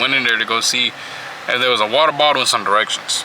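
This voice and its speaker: Against noticeable background noise, a man at medium pitch talks at a very fast pace. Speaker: vlogger. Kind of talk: casual vlog narration. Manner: casual, conversational.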